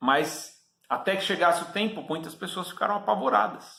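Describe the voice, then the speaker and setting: A man with a bright, sharp tone speaks at a moderate pace. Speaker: preacher. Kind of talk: sermon.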